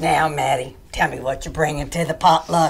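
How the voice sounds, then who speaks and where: A woman's put-on character voice, raspy and very deep, at a moderate pace with big swings in loudness. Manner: sweet then menacing.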